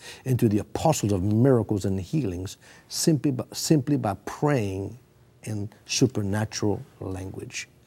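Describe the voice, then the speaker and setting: Speaking at a fairly slow pace, a man uses a dark, mellow tone that is somewhat breathy, with lively intonation. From Britain. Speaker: preacher. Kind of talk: TV interview, testimony.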